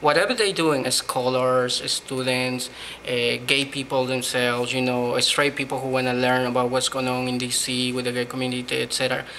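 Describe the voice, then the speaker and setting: A man with a Spanish accent speaks at a moderate pace and medium pitch amid noticeable background noise. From Peru. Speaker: blogger. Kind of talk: interview.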